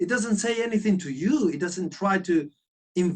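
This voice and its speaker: A high-pitched male voice with a Spanish accent. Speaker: sculptor and concept artist. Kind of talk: casual interview chat. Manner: halting; animated.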